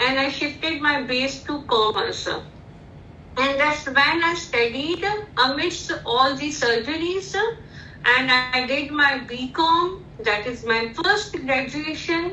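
Projecting her raised, high-pitched voice in an Indian accent, a woman speaks very slowly with ordinary pitch variation amid audible room echo and noticeable background noise. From India, Indore (Madhya Pradesh). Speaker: corporate lawyer. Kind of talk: interview.

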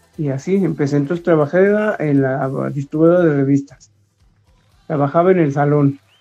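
This man has a fairly high voice with ordinary pitch variation. He talks at a moderate pace. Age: 50s. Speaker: DJ and dancer. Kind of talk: casual chat.

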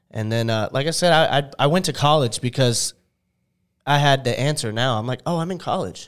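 Here a man with a normal speaking voice talks at a fairly quick pace and fairly high pitch, with ordinary pitch variation. The recording is very clean and the background silent. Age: 20s. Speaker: content creator. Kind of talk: casual chat.

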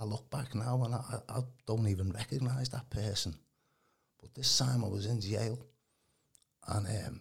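A man speaks at a moderate pace and a medium pitch. His voice is somewhat breathy, with ordinary pitch variation. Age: 60s. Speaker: healing minister. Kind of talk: testimony.

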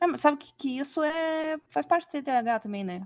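On a very clean recording with a silent background, a woman speaks at a fairly slow pace with very wide pitch swings. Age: 20s. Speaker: editor-in-chief. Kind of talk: casual interview chat. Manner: halting.

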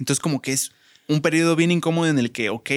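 A man's fairly even intonation in a dry, close sound with no echo. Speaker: podcast co-host. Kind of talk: casual chat.

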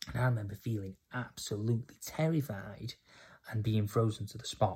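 A man with a northern English accent talks at a fairly quick pace, his voice fairly low and somewhat breathy. His intonation stays fairly even, and the recording is very clean with a silent background. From England, Cheshire. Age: 30s. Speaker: podcaster. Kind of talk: personal testimony. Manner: casual, halting with fillers.

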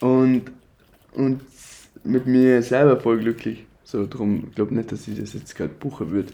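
A man with a medium pitch and a dark, mellow tone speaks at a moderate pace. His intonation is fairly even, with long, frequent pauses. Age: 20s. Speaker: design student. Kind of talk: casual chat.

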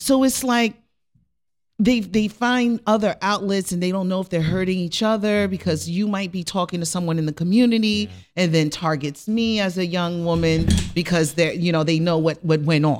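The speaker has a New York accent and keeps a moderate pace with ordinary pitch variation. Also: woman, fairly low pitch for a woman. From Rockland County, New York, Haitian family. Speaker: life coach. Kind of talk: personal testimony in talk show interview.

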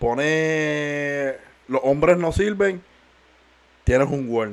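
With lively intonation, a man with a fairly high voice speaks at a very slow pace. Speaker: podcast co-host. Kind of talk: casual chat.

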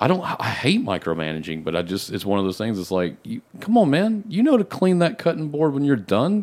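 Talking at a fairly quick pace with hardly any pauses, a man with an American accent uses a fairly high pitch and very wide pitch swings. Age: 30s. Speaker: podcast guest. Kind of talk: casual chat.

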